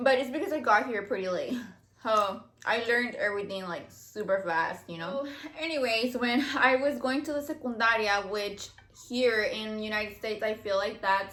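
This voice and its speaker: A woman with a slight Mexican accent, fairly high in pitch, at a moderate pace with ordinary pitch variation, amid audible room echo and noticeable background noise. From Mexico. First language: Spanish. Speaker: YouTuber. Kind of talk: casual chat. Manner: casual, filler-heavy.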